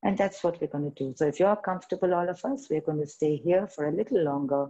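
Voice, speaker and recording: A woman's very deep, low voice with a dark, mellow tone, at a fairly quick pace against a quiet background. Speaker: yoga teacher. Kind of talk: guided meditation. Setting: video call. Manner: gentle, instructive. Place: home room.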